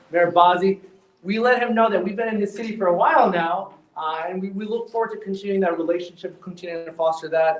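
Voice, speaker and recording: Loud and very fast, a man talks at a high pitch with fairly even intonation over noticeable background noise. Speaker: healthcare company executive. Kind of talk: ceremony speech. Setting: live event with audience, no microphone. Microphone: speaking without a mic.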